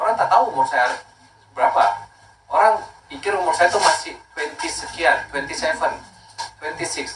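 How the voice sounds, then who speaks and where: Audible room echo accompanies speech delivered at a fairly quick pace. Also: man. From Makassar, South Sulawesi, Indonesia. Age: 30s. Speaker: skincare brand owner. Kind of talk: casual talk promoting skincare.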